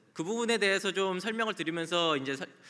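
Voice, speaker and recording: A man's high, bright, sharp voice, very fast, with lively intonation. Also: quiet background. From South Korea. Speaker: conference speaker. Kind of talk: conference talk. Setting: stage with audience. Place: hall. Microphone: podium.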